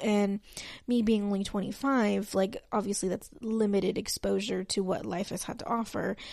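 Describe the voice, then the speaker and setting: Speaking with an American accent, a woman uses a medium pitch and a dark, mellow tone with fairly even intonation. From Texas. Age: 20s. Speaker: podcast host. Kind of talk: solo podcast introduction, casual talk. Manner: talkative, rambling with tangents.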